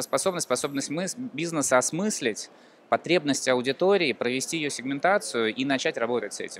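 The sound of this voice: A man talks at a fairly quick pace in a medium pitch, his intonation lively. His tone is fairly bright, with vocal fry.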